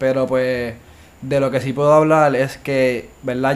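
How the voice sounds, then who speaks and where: Slowish and monotone, a man speaks with flat intonation at a fairly slow pace. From Puerto Rico, Bayamón. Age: 20s. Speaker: university student. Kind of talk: casual chat.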